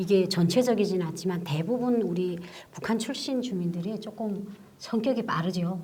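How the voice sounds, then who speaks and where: A woman of medium pitch talks at a moderate speed, her pitch varying in an ordinary way, with noticeable noise behind her. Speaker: talk show host. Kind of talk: studio talk show hosting.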